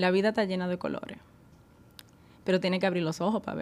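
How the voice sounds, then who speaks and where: The recording is very clean and the background silent. A woman does the talking. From Caribbean island (moved from Netherlands at 10). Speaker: wellness enthusiast, marketing graduate. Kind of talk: casual chat.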